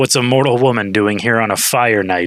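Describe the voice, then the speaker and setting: A man speaks at a fairly quick pace in a raspy, put-on character voice with a medium pitch. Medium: read story. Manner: arrogant, teasing.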